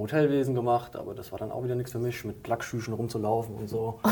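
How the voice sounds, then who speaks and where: A man with a Hessian accent speaks at a very fast pace and medium pitch over noticeable background noise. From Hesse, Limburg-Weilburg area. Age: 30s. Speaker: animal caretaker. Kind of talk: interview.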